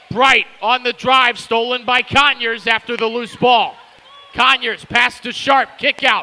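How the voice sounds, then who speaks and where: Over noticeable background noise, a man speaks in a raised, projected voice at an extremely high pitch, fairly slowly and with fairly even intonation, in a dry, close sound with no echo. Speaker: basketball play-by-play commentator. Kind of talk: live commentary.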